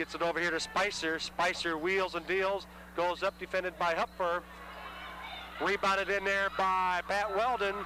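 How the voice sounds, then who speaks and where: A man with a high pitch uses a raised, projected voice at a moderate pace and very even loudness. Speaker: play-by-play sports announcer. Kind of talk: live commentary. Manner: animated.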